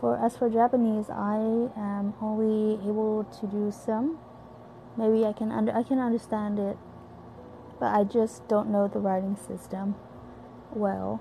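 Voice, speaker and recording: A woman with a Korean accent speaks in a fairly high pitch with ordinary pitch variation. She goes at a fairly slow pace, with long, frequent pauses. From South Korea, Busan. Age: 20s. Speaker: university student and amateur podcaster. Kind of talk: casual monologue.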